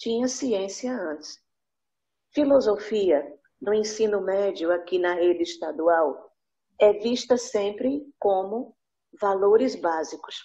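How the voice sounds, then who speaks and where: A woman of medium pitch speaks at a very slow pace. Her pitch varies in an ordinary way. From Northeast Brazil, Recife, Pernambuco. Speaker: English teacher, workshop participant. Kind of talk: participant comment.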